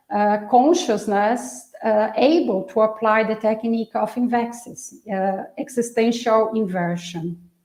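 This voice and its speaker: A woman with ordinary pitch variation at a fairly slow pace, with audible room echo. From Brazil. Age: 60s. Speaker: researcher presenting a topic. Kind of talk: online lecture presentation. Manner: halting, many fillers.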